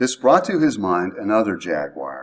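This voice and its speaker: A man speaks at a fairly slow pace with vocal fry. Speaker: speaker giving a spiritual talk. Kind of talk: talk to a group. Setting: speaking before a live audience. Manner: slow, controlled.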